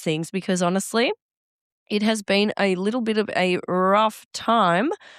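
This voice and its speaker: A woman with an Australian accent speaks at a medium pitch, her voice dry and close with no echo on a very clean recording against a silent background. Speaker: podcast host. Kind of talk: solo podcast monologue.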